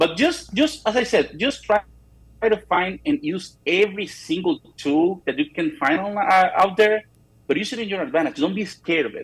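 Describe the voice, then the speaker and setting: This man talks at a fairly quick speed. His pitch is high and his intonation lively. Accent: non-native. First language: not English. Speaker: real estate photographer. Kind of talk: interview. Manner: halting, frequent repetitions.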